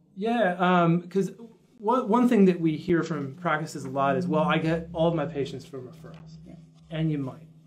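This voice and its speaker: An American accent at a moderate pace, with ordinary pitch variation, big swings in loudness and light background noise. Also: man, high pitch for a man. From United States. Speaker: dental marketing company founder. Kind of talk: interview. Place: office.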